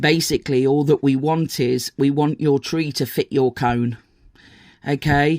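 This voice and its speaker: With a British accent, this speaker's words come at a fairly slow pace. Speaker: crochet teacher and pattern designer. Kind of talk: tutorial. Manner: hesitant, many fillers.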